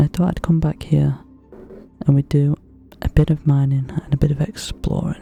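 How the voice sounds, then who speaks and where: Soft-spoken and calm in tone, this voice moves at a moderate pace with long, frequent pauses while music plays in the background. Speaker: ASMR gaming creator. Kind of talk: relaxed gameplay commentary. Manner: soft-spoken, calm.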